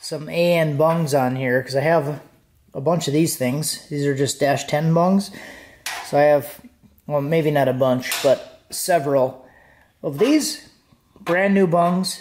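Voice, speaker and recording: Somewhat breathy, a man speaks at a fairly slow pace with ordinary pitch variation. He leaves long, frequent pauses, and there is light background noise. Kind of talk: tutorial. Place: garage. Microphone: phone near.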